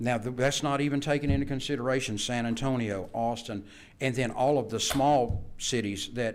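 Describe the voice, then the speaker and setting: This man talks at a moderate pace with fairly even intonation and a medium pitch. Room echo is audible. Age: 60s. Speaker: vocational instructor. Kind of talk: board meeting presentation. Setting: public board meeting.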